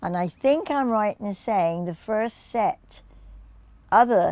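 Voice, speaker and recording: This woman has a southern English accent. The background is quiet. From England, Reading, Berkshire. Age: 80s+. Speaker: dance teacher. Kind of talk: interview answer.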